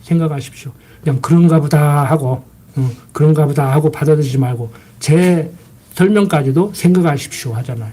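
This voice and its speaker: Amid audible room echo and noticeable background noise, a man speaks at a fairly quick pace with a fairly high pitch and ordinary pitch variation. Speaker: pastor. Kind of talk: sermon. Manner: fast.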